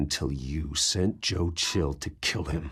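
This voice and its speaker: Growling in a put-on character voice, a man speaks with a very deep, low pitch at a fairly slow pace with ordinary pitch variation. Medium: video game. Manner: controlled, cold.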